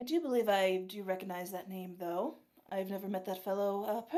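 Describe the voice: A passage given as plain reading aloud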